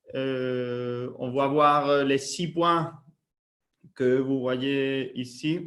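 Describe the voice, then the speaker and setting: In a monotone, flat delivery, a man speaks at a very slow pace with a fairly high pitch. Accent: non-native. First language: Spanish (speaking French). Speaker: sales area manager. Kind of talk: webinar presentation. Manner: halting, many fillers.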